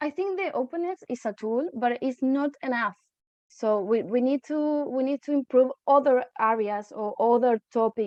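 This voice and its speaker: Talking at a moderate pace, a high-pitched woman with a Spanish accent uses lively intonation. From Uruguay. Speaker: environmental researcher. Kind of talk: video call Q&A. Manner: halting, with many fillers.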